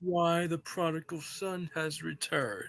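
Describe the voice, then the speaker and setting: Putting on a character voice, a man speaks high in pitch at a moderate pace. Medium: game stream.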